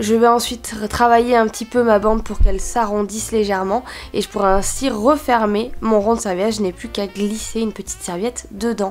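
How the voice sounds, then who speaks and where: Music in the background behind a woman's fairly high voice, fairly quick in pace with fairly even intonation. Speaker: DIY and lifestyle video creator. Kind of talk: tutorial voice-over.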